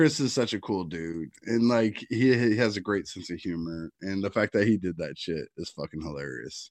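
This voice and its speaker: Against a quiet background, a man with a fairly low pitch and an ordinary speaking voice talks at a moderate pace with lively intonation, big swings in loudness and hardly any pauses. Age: 40s. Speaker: podcast co-host. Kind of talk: casual chat.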